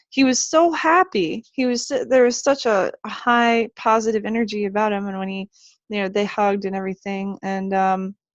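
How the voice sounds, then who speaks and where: Against a quiet background, a woman's voice comes across dry and close with no echo. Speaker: abduction experiencer. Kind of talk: interview. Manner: halting.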